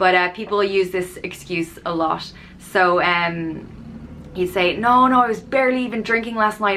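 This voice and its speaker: A woman with an Irish accent, medium pitch, a bright, sharp tone and a moderate pace. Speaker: YouTuber explaining slang. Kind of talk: casual tutorial. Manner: conversational, with fillers.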